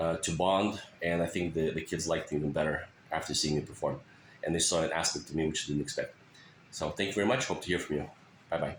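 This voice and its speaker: A very fast man's voice in a Russian accent, very deep and low in pitch, with very even loudness and fairly even intonation. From Russia, moved to US at 13. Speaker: teacher. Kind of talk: self-introduction. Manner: hesitant, many fillers.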